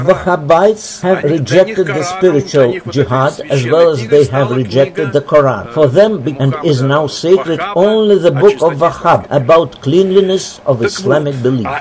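Moderately paced speech with hardly any pauses and noticeable background noise. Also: man. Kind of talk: explanatory commentary. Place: waterside.

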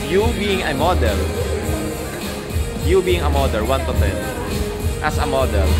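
Loud music plays in the background as a man talks with long, frequent pauses. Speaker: vlogger, interviewer. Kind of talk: rapid-fire interview questions. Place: hall. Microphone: phone near.

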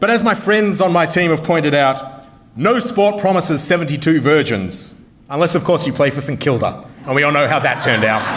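A man with an Australian accent, fairly high in pitch, with lively intonation at a moderate pace over light background noise. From Melbourne, Australia. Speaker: comedy debater. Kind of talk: comedic debate speech. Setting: stage with audience. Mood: humorous, wry. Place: hall. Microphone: podium.

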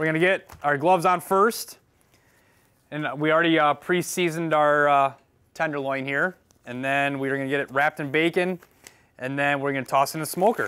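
A man at a fairly quick pace, with fairly even intonation. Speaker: firefighter cooking show host. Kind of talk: cooking tutorial. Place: kitchen.

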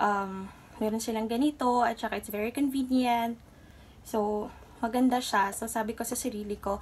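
Somewhat breathy, a woman speaks at a moderate pace with fairly even intonation. Light background noise sits behind her. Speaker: vlogger. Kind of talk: casual vlog chat. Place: home room. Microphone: phone near.

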